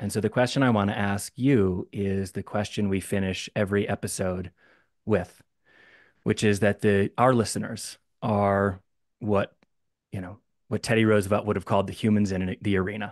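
Against a quiet background, a man talks at a fairly low pitch and a moderate pace. His intonation is monotone and flat, and the sound is dry with no echo. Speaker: former city council member. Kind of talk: audience question. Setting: video call. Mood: warm, grateful. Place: home room. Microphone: studio mic.

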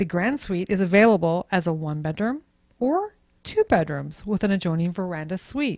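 In a normal speaking voice, a woman talks at a moderate pace and medium pitch with lively intonation. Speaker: luxury travel specialist. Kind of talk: travel ship tour presentation.

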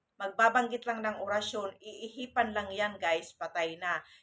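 A woman's bright, sharp, medium-pitched voice at a moderate pace, with fairly even intonation. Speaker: vlogger. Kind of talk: casual vlog monologue.

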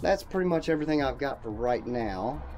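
Speech moves at a moderate pace. Clear music plays in the background. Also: man. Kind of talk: casual vlog chat. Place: bus. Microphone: phone near.

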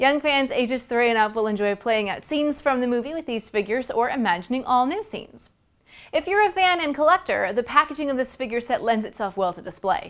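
A woman talks at a very fast pace with a high pitch. The background is quiet. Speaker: toy reviewer. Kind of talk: product review presentation. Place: studio. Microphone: lapel.

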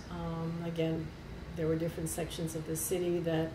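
Against noticeable background noise, a woman with a fairly low pitch talks with an American accent. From US South (Kentucky, Appalachia). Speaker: retired airline worker and union member. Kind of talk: oral history interview. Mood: warm, smiling. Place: office.

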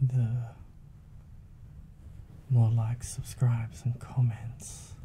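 A soft-spoken man talks very slowly in a relaxed, dark, mellow tone, somewhat breathy and monotone with flat intonation. Light background noise sits behind him. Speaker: ASMR content creator. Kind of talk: soft-spoken ASMR chat to camera. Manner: soft-spoken, relaxed. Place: home room. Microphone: studio mic.

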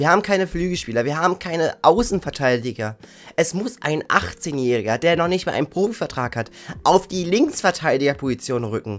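A man's voice at a moderate pace with faint music in the background. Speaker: football YouTuber. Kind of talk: angry rant about team's failures. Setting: video channel, solo. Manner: indignant; harsh, blunt. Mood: frustrated, critical. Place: home room.

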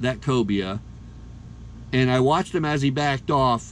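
A man's medium-pitched voice, an ordinary speaking voice, with ordinary pitch variation at a moderate pace. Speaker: fishing vlogger. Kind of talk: casual narration.

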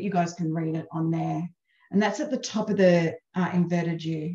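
A woman speaks at a moderate pace in a fairly low, somewhat breathy voice with ordinary pitch variation. The background is quiet, though there is audible room echo. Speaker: presenter or coach. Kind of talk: webinar talk. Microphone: headset.

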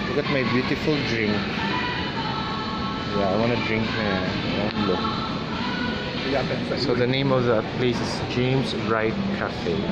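Music plays in the background while a man speaks at a moderate pace with ordinary pitch variation. He leaves long, frequent pauses. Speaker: vlogger. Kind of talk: casual vlog chat. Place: cafe. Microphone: phone near.

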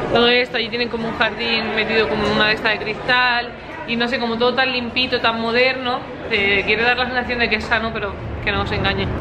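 In a Spanish accent, a woman talks at a very fast pace and fairly high pitch, with noticeable background noise. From Spain. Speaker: vlogger. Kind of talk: casual vlog narration. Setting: walking around the city, outdoors and in a restaurant. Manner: animated. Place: cafe. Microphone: phone near.

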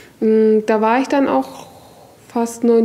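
A woman with a fairly high pitch and ordinary pitch variation. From northern Germany, Hamburg; Germany. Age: 20s. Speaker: kitchen assistant and literacy self-help group member; interviewee. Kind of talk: interview testimony; interview answer. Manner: hesitant, many fillers. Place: classroom.

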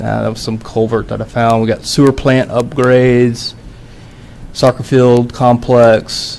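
A man speaks at a fairly slow pace, his pitch in the medium range. Noticeable background noise sits behind him. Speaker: city department head. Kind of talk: presentation to city council. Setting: council work session. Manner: halting, many fillers.

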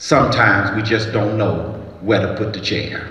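A man talks at a moderate pace while room echo can be heard. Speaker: pastor giving an address. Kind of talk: sermon. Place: stage. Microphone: handheld.

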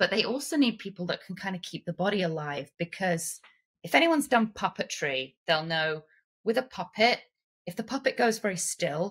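The speaker has an English accent and a moderate pace. The background is quiet. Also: woman. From England. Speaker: actress, puppeteer, performance capture artist; actress. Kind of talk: podcast interview answer. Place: home room.

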